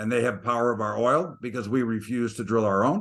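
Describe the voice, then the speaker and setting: A man's bright, sharp tone with an American accent. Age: 60s. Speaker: market commentator. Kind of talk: interview. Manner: animated.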